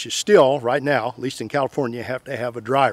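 A man with an Ozarks accent speaks at a moderate pace in a fairly high pitch, his voice dry with no echo against a quiet background. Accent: Missouri Ozarks rural American. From US Midwest, Missouri Ozarks; Missouri. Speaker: tractor video creator; tractor channel host. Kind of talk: tutorial-style vlog talk to camera. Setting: outdoors by power pole. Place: open country.

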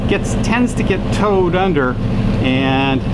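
Loud background noise fills the recording. The speech moves at a fairly slow pace. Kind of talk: casual narration while cruising. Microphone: phone near.

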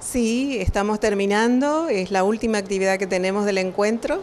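A woman at a fairly slow pace, ordinary pitch variation, and light background noise. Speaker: teacher-training event organizer. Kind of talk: interview answer. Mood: pleased, calm. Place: hall. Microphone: handheld.

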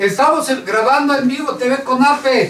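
Audible room echo follows a man whose extremely high voice keeps a fairly even intonation. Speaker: news show co-host and organization president; news show co-host. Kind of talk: casual panel chat. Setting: studio. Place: studio.

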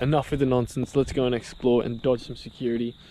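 Light background noise sits behind a man speaking at a very fast pace. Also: dry sound with no echo. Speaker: urban explorer vlogger. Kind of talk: casual vlog chat. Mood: joking, playful banter. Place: street. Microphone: phone near.

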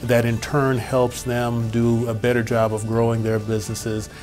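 A man speaks at a moderate pace with a flat, monotone delivery. Clear music plays behind him. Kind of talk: interview answer. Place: hall. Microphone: lapel.

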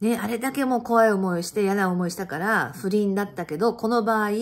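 In an animated tone, a woman speaks at a moderate pace. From Japan. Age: 50s. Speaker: channel host sharing life stories. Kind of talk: casual monologue recounting personal life. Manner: animated, chatty, laughing. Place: home room. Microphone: phone near.

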